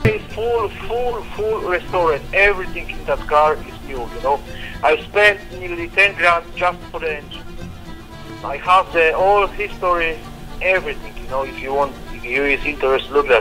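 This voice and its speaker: A man's high-pitched voice at a moderate pace, with big swings in loudness and clear music in the background. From Poland. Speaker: car seller on the phone. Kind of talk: phone conversation.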